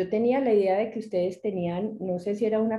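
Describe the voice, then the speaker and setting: With a Medellín accent, a woman speaks at a medium pitch, somewhat breathy, with ordinary pitch variation. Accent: Medellín (paisa). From Medellín, Colombia. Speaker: retina specialist, lecturer. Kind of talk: lecture.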